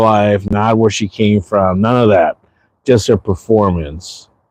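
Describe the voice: A man speaks at a low pitch. His pace is slow and his tone is slightly mellow.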